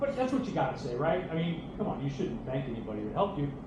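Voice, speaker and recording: Loud and animated, a man's voice swings very widely in pitch, with audible room echo and noticeable background noise. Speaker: bowling coach and former pro bowler. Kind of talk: hall of fame acceptance speech. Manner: animated, halting with repeats.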